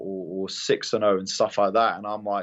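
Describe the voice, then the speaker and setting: A British accent at a moderate pace. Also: man. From London. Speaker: MMA fighter. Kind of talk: interview. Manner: halting, many repeated words.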